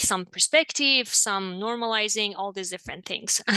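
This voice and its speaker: Speaking at a fairly quick pace with a non-native accent, a woman of medium pitch has a bright, sharp tone and fairly even intonation, the sound dry and close with no echo against a quiet background. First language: not English. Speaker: marriage and family therapist. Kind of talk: interview conversation.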